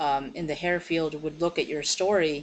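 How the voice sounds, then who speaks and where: Speaking at a moderate pace, a woman uses an ordinary speaking voice with a fairly low pitch and ordinary pitch variation. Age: 30s. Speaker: interviewer. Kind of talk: interview.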